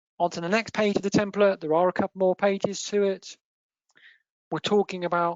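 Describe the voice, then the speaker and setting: This is a woman speaking with an English accent. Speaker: accountancy firm partner presenting webinar. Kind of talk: webinar presentation. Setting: online webinar.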